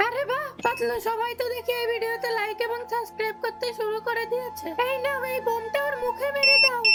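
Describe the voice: An extremely high, cartoonish character voice at a moderate pace, with clear background noise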